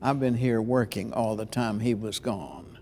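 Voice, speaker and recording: The speaker is male. He has a dark and mellow tone. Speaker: preacher and preaching teacher. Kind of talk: interview answer about preaching.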